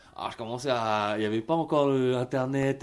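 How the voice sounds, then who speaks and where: Here a man speaks at a moderate pace and medium pitch with fairly even intonation. The background is quiet. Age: 30s. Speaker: singer and musician. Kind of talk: radio testimony. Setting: radio studio. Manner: halting, many repetitions and fillers.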